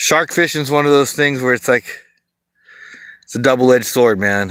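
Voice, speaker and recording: In an American accent, a man with an ordinary speaking voice and medium pitch talks at a moderate pace, with ordinary pitch variation and big swings in loudness. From Southern California. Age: 40s. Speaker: fishing livestreamer. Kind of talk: casual chat. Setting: outdoors.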